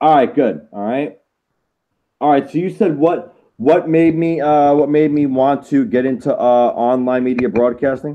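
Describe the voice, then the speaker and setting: A man with an American accent speaks at a moderate pace, his fairly high pitch moving with ordinary variation. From Florida. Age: 30s. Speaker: podcast host. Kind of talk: interview. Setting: home studio. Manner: halting, many fillers.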